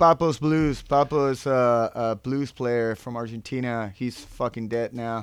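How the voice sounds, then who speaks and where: A man speaks fairly slowly at a medium pitch, with hardly any pauses. His intonation is fairly even, an unremarkable speaking voice. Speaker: skateboarder and sports brand team manager. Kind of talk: casual chat.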